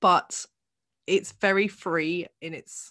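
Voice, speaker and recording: The speaker has a British accent. The sound is dry and close with no echo, against a quiet background. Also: woman. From England. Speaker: podcast host. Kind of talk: casual chat.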